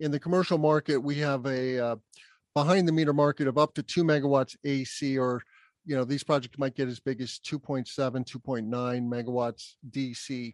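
In an American accent, a man speaks with a plain, everyday voice at medium pitch, moderate pace and fairly even intonation. The sound is dry and close with no echo, over a quiet background. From US Southwest (Albuquerque, New Mexico). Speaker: solar business development executive, podcast host. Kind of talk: casual interview.

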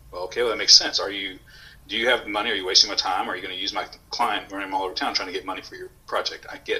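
Talking at a very fast pace, a man with an American accent is heard over noticeable background noise. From Houston, Texas. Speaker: coffee company owner and former Marine. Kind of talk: casual interview.

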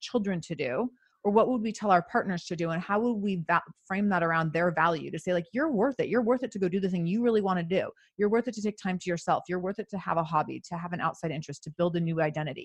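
Speaking at a very fast pace with an American accent, the voice is somewhat breathy against a quiet background. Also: woman. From US Pacific Northwest, Seattle. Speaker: podcaster and coach for mothers. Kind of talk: casual interview.

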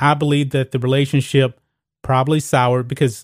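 On a very clean recording with a silent background, a man with an ordinary speaking voice talks at a moderate pace and a fairly high pitch, his intonation fairly even. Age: 40s. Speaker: sports commentary host. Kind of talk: opinionated sports commentary.

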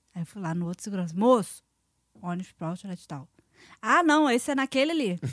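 Fairly quick, animated speech with long, frequent pauses and very wide pitch swings, on a very clean recording with a silent background. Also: woman, medium pitch for a woman. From Brazil. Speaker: former theme park worker. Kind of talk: casual chat.

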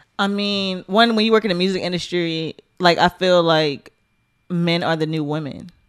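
In a normal speaking voice, a woman talks at a moderate pace with a fairly low pitch and fairly even intonation. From US, Baltimore. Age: 20s. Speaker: music industry executive. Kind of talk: casual chat.

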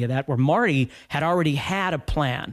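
A man speaks with an Upper Midwest accent at a fairly high pitch. The recording is very clean, with a silent background. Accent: Upper Midwest American. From North Dakota, US Upper Midwest. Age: 50s. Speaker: guitar teacher. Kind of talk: casual interview.

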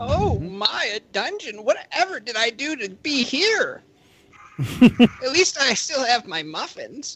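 The speaker puts on a character voice with a high pitch. Delivery is fairly slow. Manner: prim, fussy, comically out of place for his size.

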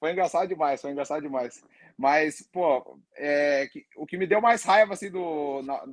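A man speaks in a normal speaking voice at a moderate pace with a fairly high pitch. The sound is dry and close, with no echo. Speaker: MMA fighter. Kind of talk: casual chat.

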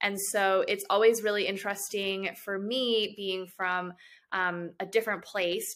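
In a normal speaking voice, a woman with an American accent talks at a fairly slow pace, her medium pitch held in fairly even intonation. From Chicago, US Midwest. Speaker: hospital administrative fellow. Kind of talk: interview.

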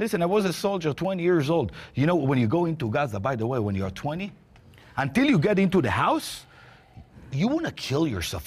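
With an Israeli accent and vocal fry, a man talks at a fairly quick pace, his pitch swinging very widely. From Israel, Jerusalem. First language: Hebrew. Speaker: roundtable participant, Israeli. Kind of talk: heated debate. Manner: halting.

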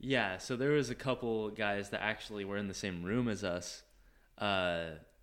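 A man speaks with fairly low pitch and ordinary pitch variation. His pace is moderate, in an ordinary speaking voice. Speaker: former missionary. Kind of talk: casual chat.

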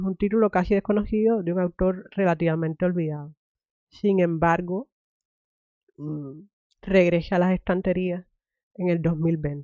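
A woman speaks with a fairly low pitch and ordinary pitch variation. She leaves long, frequent pauses. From Cuba. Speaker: podcast host. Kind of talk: interview.

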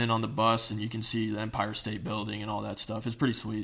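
Speaking very fast in an American accent, a man has a medium pitch and a bright, sharp tone. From US Northeast (New Jersey), earlier Ohio. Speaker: former high school football player. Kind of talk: interview.

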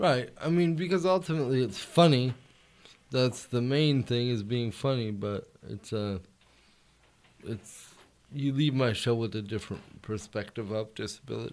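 An ordinary speaking voice at a moderate pace, with lively intonation. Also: man, medium pitch for a man. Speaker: comedian. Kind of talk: casual chat. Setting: studio.

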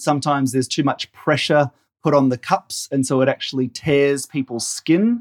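A man with a fairly high pitch talks at a moderate pace with ordinary pitch variation and very even loudness. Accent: Australian. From Australia. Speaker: general practitioner doctor. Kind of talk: interview. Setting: pre-recorded remote interview.

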